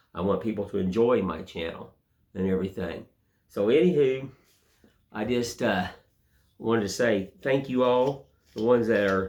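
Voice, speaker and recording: With an Appalachian accent, a man talks at a moderate pace with ordinary pitch variation. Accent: US Southern (Appalachian). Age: 60s. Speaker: woodcarver. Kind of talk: casual monologue; tutorial. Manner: casual, repetitive with fillers.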